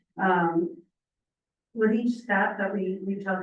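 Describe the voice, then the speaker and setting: The woman's voice sits at a medium pitch with fairly even intonation. Audible room echo surrounds it. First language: not English. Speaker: program participant giving testimony. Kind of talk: testimony. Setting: public meeting, in person. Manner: halting, with frequent fillers.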